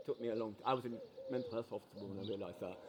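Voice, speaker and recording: A man speaks over noticeable background noise. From Yorkshire, England. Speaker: passerby. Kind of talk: casual chat. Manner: halting.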